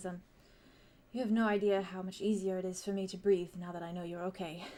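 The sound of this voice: A woman puts on a shaky character voice, talking very fast at a medium pitch with monotone, flat intonation.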